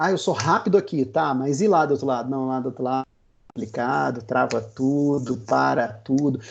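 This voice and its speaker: The setting behind him is quiet. This man's voice sits fairly high. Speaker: agile consultant. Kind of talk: webinar presentation. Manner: fast.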